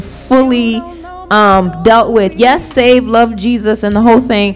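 With faint music in the background, a woman talks at a very slow pace with fairly even intonation. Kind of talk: group discussion answer. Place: home room. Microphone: studio mic.

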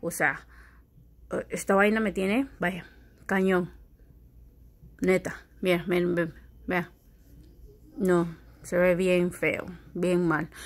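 Speaking very slowly, a woman uses a medium pitch. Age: 30s. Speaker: vlogger. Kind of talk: casual vlog talking to camera. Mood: annoyed, complaining. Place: home room. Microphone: phone near.

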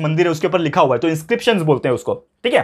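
A man's high-pitched voice at a very fast pace against a quiet background. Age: 20s. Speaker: tutor. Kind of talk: lecture. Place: classroom.

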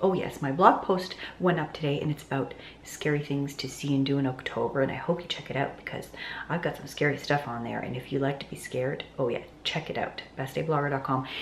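With audible room echo and light background noise, a woman speaks in a very deep, low pitch at a fairly quick pace with fairly even intonation. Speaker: lifestyle vlogger. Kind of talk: casual vlog chat. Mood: chatty, lightly laughing. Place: home room. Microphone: phone near.

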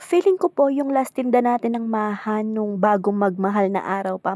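Lively in intonation, a woman speaks at a moderate pace in a dark, mellow, medium-pitched voice, recorded dry and close with no echo. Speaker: home food seller. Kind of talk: casual vlog narration to viewers. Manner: polite, chatty.

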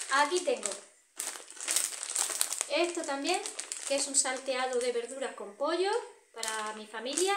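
There is light background noise and audible room echo as a woman speaks at a high pitch. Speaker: vlogger. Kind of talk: casual vlog chat. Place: home room. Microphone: phone near.

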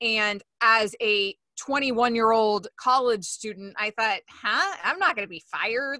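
In a quiet background with a dry sound and no echo, a woman speaks in a bright, sharp tone, her pitch fairly high with ordinary variation. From Florida, US South. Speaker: sports radio host. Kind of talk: casual interview. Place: home room. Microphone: studio mic.

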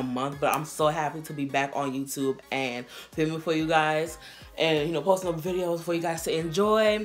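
A woman's very deep, low voice at a moderate pace, with ordinary pitch variation and faint music behind. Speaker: youtuber. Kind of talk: casual vlog chat. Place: home room. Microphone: camera far.

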